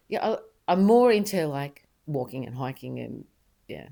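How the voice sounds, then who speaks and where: Speaking at a fairly slow pace with an Australian accent, a woman with a very deep, low pitch and a dark, mellow tone moves through very wide pitch swings. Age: 60s. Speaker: mother of the host. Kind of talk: casual chat. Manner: halting.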